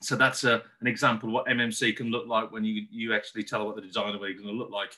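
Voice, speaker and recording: Talking at a very fast pace, a man keeps a medium pitch with fairly even intonation. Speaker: housing association development manager. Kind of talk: conference presentation. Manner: repetitive stumbling restarts.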